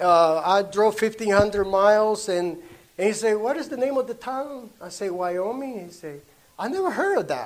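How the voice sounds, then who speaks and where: A man's high-pitched voice at a moderate pace, with lively intonation and big swings in loudness. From Honduras. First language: Spanish. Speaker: traveling minister. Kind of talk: testimony. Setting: church meeting with audience. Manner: halting.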